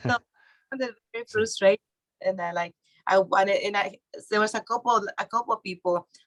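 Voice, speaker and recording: Using a Mexican accent, a woman speaks fairly quickly at a fairly high pitch with long, frequent pauses, in a dry, close sound with no echo. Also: ordinary pitch variation. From Mexico. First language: Spanish. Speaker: real estate investor and author. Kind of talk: podcast interview. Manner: halting, many restarts.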